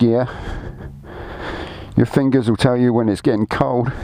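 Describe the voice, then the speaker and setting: A man with a British accent speaks in a monotone, flat way. There is noticeable background noise. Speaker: motorcycle rider. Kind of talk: casual talk to camera. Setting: outdoors.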